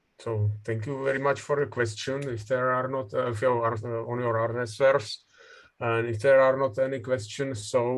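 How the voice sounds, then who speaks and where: A man speaks at a moderate pace and medium pitch in a Czech accent. His intonation is monotone and flat, with audible room echo. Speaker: session chair, professor. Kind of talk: conference moderation. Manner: halting.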